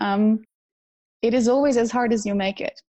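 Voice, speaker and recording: Some breathiness runs through the voice, and the intonation is fairly even. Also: woman. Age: 30s. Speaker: personal development trainer. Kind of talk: interview. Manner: hesitant, many fillers.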